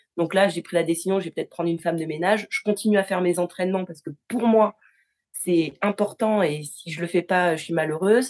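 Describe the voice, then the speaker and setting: A woman's medium-pitched voice at a fairly quick pace, with fairly even intonation and big swings in loudness. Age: 30s. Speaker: quality engineer, coaching client. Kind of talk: testimonial interview. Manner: halting, with repetitions and fillers.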